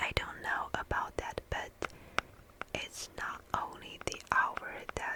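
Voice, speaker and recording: Very slow whispering comes through over noticeable background noise. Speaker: ASMR creator. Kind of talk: sleep story reading. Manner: whispered; soft-spoken.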